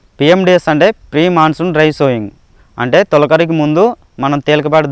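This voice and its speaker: The voice belongs to a man. It sits fairly high in pitch, with ordinary variation. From Andhra Pradesh, Nandyal district. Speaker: farmer. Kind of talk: testimony. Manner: halting.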